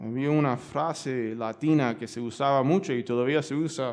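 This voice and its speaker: With a Cuban accent, a man speaks at medium pitch with fairly even intonation, and audible room echo can be heard. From United States. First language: English (speaking Spanish). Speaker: pastor. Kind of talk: sermon. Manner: halting, many fillers.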